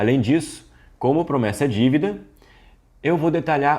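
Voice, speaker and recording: Vocal fry runs through a man's voice. His intonation is lively. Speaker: business course instructor. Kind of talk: online lecture. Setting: screen recording. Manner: not fast.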